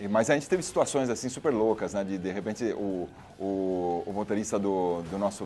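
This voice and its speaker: Music plays behind a man with a fairly low pitch. He moves at a fairly quick pace with ordinary pitch variation. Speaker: singer. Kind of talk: casual interview. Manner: halting, many repetitions.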